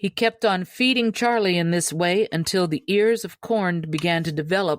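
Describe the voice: A woman speaks at a fairly low pitch and a fairly slow pace, with ordinary pitch variation. The sound is dry and close, with no echo.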